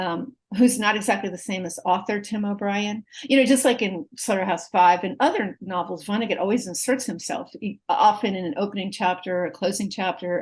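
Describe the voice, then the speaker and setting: A woman in a normal speaking voice talks at a fairly quick pace with hardly any pauses. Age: 60s. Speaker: literature professor. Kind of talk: interview conversation.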